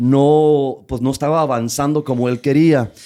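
Dark, mellow male speech at a moderate pace with fairly even intonation, in a very clean recording with a silent background. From Tijuana, Mexico / US border region. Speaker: comedian. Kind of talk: casual chat.

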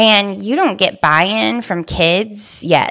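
A woman with an American accent, an animated tone, vocal fry, and lively intonation. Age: 40s. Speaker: teacher and author. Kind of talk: casual chat. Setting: studio.

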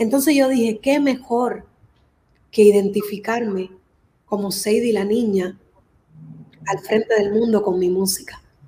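A woman with a fairly high pitch speaks at a fairly slow pace, with long, frequent pauses and ordinary pitch variation. Her tone is dark and mellow and somewhat breathy. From Cuba, raised in Miami. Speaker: singer. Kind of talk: interview.

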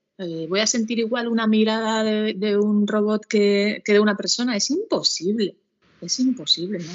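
An ordinary speaking voice, a woman at a fairly high pitch, with ordinary pitch variation and a fairly slow pace. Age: 40s. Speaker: educational psychologist, co-host. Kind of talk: casual chat.

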